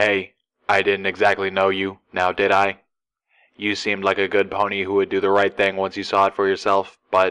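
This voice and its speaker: A man puts on a robotic character voice with a fairly low pitch, speaking at a moderate pace. The recording is very clean, with a silent background. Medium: read story. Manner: casual, slow and deliberate when serious.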